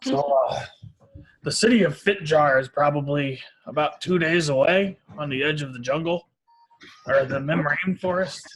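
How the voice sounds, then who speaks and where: A man puts on a raspy character voice with a fairly high pitch at a moderate pace. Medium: actual play. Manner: rambling, hesitant.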